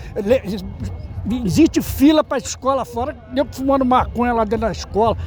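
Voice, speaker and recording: Someone talks at a moderate pace. Music is heard behind the voice. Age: 70s. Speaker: rally participant interviewed. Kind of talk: street interview.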